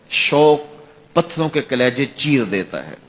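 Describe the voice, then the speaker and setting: Clear background noise surrounds a man whose voice sits fairly high. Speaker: Islamic religious preacher. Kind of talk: religious sermon.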